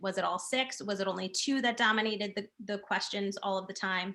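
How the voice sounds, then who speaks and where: A woman has an unremarkable speaking voice, medium in pitch with ordinary pitch variation. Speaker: education program trainer. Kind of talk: training session.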